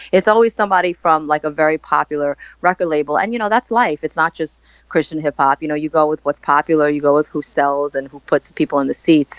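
Very fast female voice, very deep and low, with an American accent and ordinary pitch variation. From Staten Island, New York. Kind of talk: interview.

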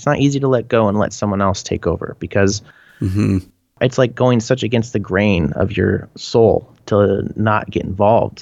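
This man has an ordinary speaking voice, fairly low in pitch, with a Canadian accent, a moderate pace and fairly even intonation. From British Columbia, Canada. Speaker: band frontman. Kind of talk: casual interview chat.

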